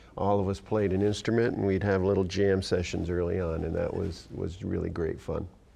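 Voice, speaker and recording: With an American accent, a man talks at a fairly quick pace with hardly any pauses, his very deep, low voice dark and mellow in tone and flat, monotone in intonation, with audible room echo around it. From Northern New York (near Malone). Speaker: music teacher and trumpet player. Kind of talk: interview.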